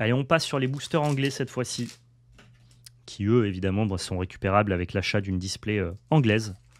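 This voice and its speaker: A man talks at a fairly quick pace with ordinary pitch variation. His pitch sits fairly low. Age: 30s. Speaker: card game YouTuber. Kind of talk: card unboxing video. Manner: animated. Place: home room.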